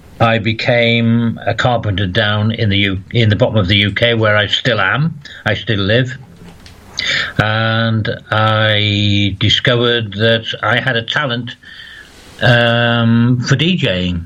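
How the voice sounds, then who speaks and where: A man talks at a very slow pace and medium pitch, with very even loudness and fairly even intonation. Noticeable background noise sits behind him. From northeast England, County Durham. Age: 60s. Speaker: former radio DJ. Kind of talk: interview.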